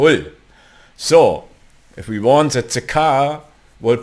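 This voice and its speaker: A man speaks with a German accent. His pace is very slow. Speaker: 3D software tutorial creator. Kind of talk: tutorial. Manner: halting, many fillers.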